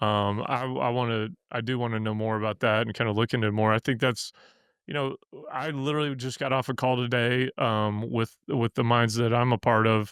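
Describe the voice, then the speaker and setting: With a Missouri accent, a man speaks at a fairly quick pace and medium pitch in a flat monotone. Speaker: podcast host and bitcoin miner. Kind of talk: casual interview chat. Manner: halting, many fillers and restarts.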